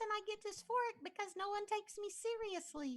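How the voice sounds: Put on as a character, a squeaky, female-sounding voice rises to an extremely high pitch and moves at a fairly quick pace.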